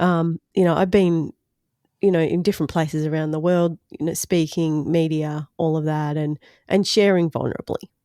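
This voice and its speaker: In an Australian accent, a woman with a fairly low, dark and mellow voice speaks at a moderate pace in a monotone, flat intonation, on a very clean recording with a silent background. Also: dry, close sound with no echo. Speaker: podcaster and speaker. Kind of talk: podcast interview answer.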